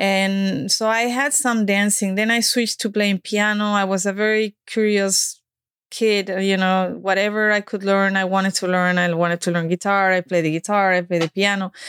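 A woman with a Spanish accent speaks with fairly even intonation. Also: medium pitch for a woman, moderate pace. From Spain. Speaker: dance coach and speaker. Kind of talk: casual interview chat. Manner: halting, many fillers.

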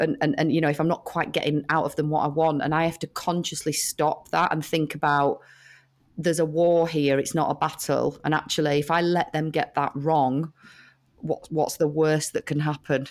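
This woman has a very deep, low voice and a British accent, speaking at a moderate pace with monotone, flat intonation. The recording is very clean, with a silent background. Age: 40s. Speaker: head of marketing at a food brand. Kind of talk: interview conversation.

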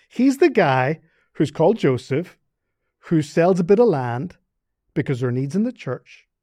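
With a Northern Irish accent, the voice has a dark, mellow tone, very wide pitch swings, and long, frequent pauses. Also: man, fairly high pitch for a man, moderate pace. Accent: Northern Irish, sounds Scottish-like. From Northern Ireland. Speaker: seminary professor. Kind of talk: casual interview chat.

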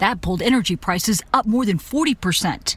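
A woman's voice swings very widely in pitch, with noticeable background noise behind it. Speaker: TV news correspondent. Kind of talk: news report.

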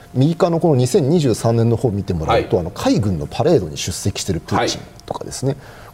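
Over noticeable background noise, a man with a medium pitch talks at a fairly quick pace, his pitch swinging very widely. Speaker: military analyst and university lecturer. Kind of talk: TV panel discussion.

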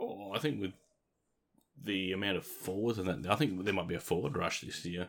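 Speaking in an Australian accent, a man delivers his words at a very deep, low pitch. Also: ordinary pitch variation, fairly quick pace. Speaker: fantasy football podcast host. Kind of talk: casual chat.

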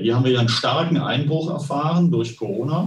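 Somewhat breathy, a man speaks with audible room echo around his voice. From Westphalia, Germany. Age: 60s. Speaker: company finance executive. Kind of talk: interview.

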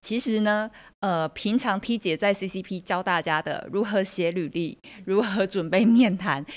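Moderate pace in a Taiwanese accent, on a very clean recording with a silent background. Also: woman. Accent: Taiwanese Mandarin. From Taiwan, Kaohsiung. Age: 40s. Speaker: career coach, semiconductor manager. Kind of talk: interview.

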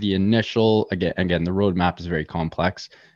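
A man with a Canadian accent and a normal speaking voice talks at a fairly low pitch with ordinary pitch variation over a quiet background. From Canada, Toronto. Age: 20s. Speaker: crypto gaming startup executive. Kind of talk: podcast interview.

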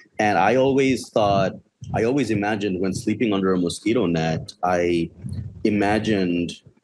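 A man's fairly low voice with ordinary pitch variation at a moderate pace, over noticeable background noise. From Bangladesh. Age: 30s. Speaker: filmmaker. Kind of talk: interview.

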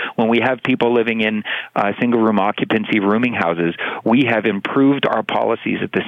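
This man has a Canadian accent and speaks at a moderate pace in a medium pitch. Noticeable background noise runs underneath. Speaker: city councillor. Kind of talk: radio interview.

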